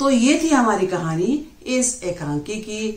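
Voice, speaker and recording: A very slow pace with audible room echo. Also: woman. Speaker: teacher. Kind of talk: lecture. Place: home room. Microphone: phone near.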